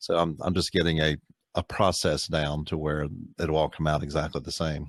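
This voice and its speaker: In an American accent, a man speaks in a very deep, low voice with flat, monotone intonation. The recording is very clean, with a silent background. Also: moderate pace. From United States. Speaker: voice actor. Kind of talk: casual podcast conversation.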